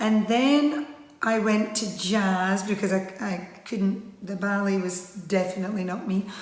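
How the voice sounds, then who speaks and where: With a Scottish accent and a fairly high pitch, a woman speaks at a fairly slow pace amid noticeable background noise and audible room echo. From Scotland. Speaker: line dance instructor. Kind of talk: interview monologue. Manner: casual with frequent fillers.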